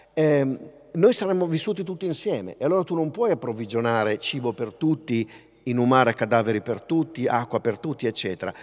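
Using very wide pitch swings around a medium pitch, a man speaks at a fairly quick pace. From northern Italy, Pavia; Italy. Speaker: linguist, festival lecturer; festival lecturer. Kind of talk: public lecture. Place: stage. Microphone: podium.

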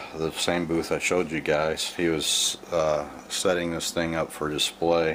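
Over light background noise, a man talks with a very deep, low pitch and monotone, flat intonation. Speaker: vintage radio collector. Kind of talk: casual show-and-tell narration. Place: home room. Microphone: phone near.

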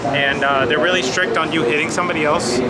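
A man speaks over loud background noise. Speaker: travel vlogger. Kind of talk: casual vlog chat. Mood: happy, relaxed.

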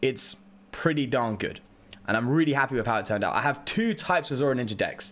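Upbeat and animated, a medium-pitched man speaks at a very fast pace with lively intonation. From Britain. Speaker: Pokemon card game streamer. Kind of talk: casual livestream chat while gaming. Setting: live stream, reading chat. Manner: chatty, upbeat, animated. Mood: excited, grateful. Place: home room.

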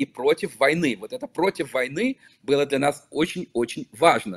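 With lively intonation, a man speaks at a fairly high pitch and a moderate pace. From Belarus, Vitebsk; Belarus. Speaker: local politician and activist; guest. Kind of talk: interview. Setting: remote call. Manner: halting. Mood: earnest, serious. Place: office. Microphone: video call.

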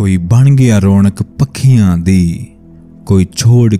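Ordinary pitch variation is heard over faint music in the background. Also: man. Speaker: voice-over artist. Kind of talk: poetry reading. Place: studio.

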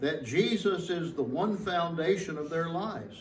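A man with a high pitch speaks at a fairly slow pace amid audible room echo and light background noise. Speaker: pastor. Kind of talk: sermon. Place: church. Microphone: podium.

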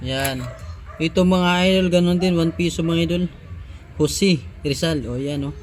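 With long, frequent pauses and big swings in loudness, a man speaks in a high pitch and fairly even intonation. Noticeable background noise is present. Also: moderate pace. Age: 30s. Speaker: vlogger. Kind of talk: casual vlog show-and-tell.

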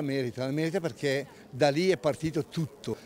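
Over light background noise, a man with a fairly high pitch and ordinary pitch variation talks, the sound dry with no echo. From Lombardy. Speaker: ski club president; interviewee. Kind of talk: interview. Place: street.

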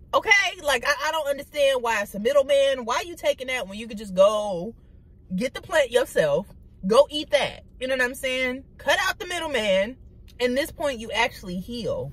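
A woman's high-pitched, animated voice at a moderate pace, with lively intonation, big swings in loudness and a dry sound with no echo. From Detroit, Michigan (east side). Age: 20s. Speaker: YouTuber. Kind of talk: casual vlog monologue. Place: car. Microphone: phone near.

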